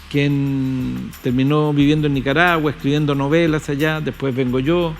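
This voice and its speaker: A man with a Chilean accent speaks in a fairly high pitch, his intonation monotone and flat and his loudness very even. Music plays in the background, and the room echo is audible. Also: moderate pace. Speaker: poet and musician. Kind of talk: interview conversation.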